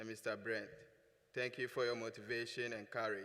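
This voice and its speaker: Here a man talks at a moderate pace and medium pitch. His tone is bright and sharp, his intonation monotone and flat. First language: not English. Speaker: student award recipient. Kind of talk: award acceptance speech.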